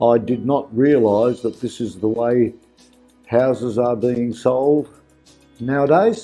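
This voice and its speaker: Faint music plays in the background as a man speaks at a very slow pace. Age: 80s+. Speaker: home seller. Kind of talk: testimonial interview answer. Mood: pleased, approving. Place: office.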